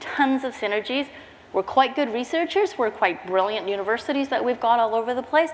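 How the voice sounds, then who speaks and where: A woman speaks at a fairly quick pace in a high pitch. Her intonation is lively, and there is noticeable background noise. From Canada. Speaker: social innovation leader. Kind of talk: conference talk. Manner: fast; animated.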